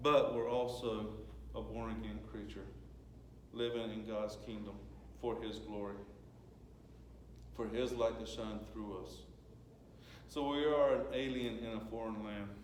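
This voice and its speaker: With a Southern US accent, a man talks at a fairly slow pace with long, frequent pauses. Audible room echo and noticeable background noise fill the recording. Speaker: lay preacher. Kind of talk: sermon. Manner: conversational.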